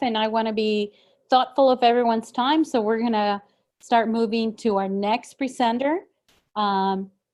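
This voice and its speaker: This is an unremarkable speaking voice at a moderate pace with ordinary pitch variation. The background is quiet. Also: woman. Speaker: town hall moderator. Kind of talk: moderated town hall Q&A and speaker introduction.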